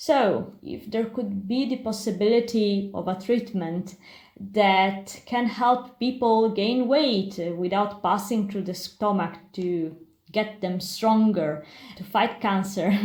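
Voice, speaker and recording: A somewhat breathy woman with an Italian accent, at a medium pitch and a very slow pace, amid audible room echo. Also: ordinary pitch variation. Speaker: pharmacy historian and biologist. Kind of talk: lecture. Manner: halting.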